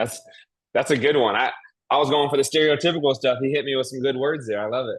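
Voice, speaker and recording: Talking very fast with fairly even intonation, a man has a slight Southern US accent. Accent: slight Southern twang. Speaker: real estate investor at networking meetup. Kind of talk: casual networking chat.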